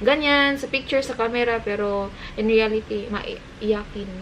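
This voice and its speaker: With a Visayan accent, a woman speaks at a fairly slow pace in a fairly high voice. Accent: Visayan-accented Tagalog. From Cebu, Philippines. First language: Cebuano (Bisaya) (speaking Tagalog). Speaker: vlogger. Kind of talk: casual chat.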